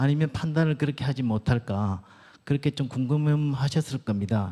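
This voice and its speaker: Dark, mellow and somewhat breathy, a voice with a Gyeongsang accent comes through on a very clean recording with a silent background. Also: man, medium pitch for a man, ordinary pitch variation, moderate pace. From Gyeongsang region, Korea. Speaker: doctor and church elder giving a lecture. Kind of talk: lecture. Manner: halting.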